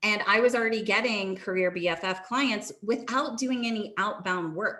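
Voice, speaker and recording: A woman with a fairly high pitch, ordinary pitch variation and a moderate pace, in an unremarkable speaking voice. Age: 30s. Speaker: career coach and LinkedIn branding specialist. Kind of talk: guest talk on a community video call.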